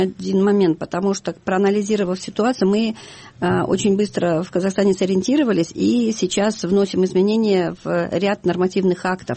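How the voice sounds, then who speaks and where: Her pace moderate, a woman talks with ordinary pitch variation. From Kazakhstan. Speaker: lawyer and children's welfare NGO head. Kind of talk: radio interview. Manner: halting, many fillers.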